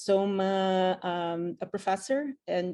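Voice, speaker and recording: A woman with a Portuguese accent speaks at medium pitch in a dark, mellow tone. Her pitch varies in an ordinary way over a quiet background. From Brazil. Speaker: physician and professor. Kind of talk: casual interview. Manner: halting, many fillers.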